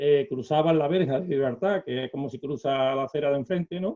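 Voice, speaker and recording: The speaker is a man. His pitch is fairly high. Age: 60s. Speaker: retired bank employee and celiac association volunteer. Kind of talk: interview. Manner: halting, many fillers.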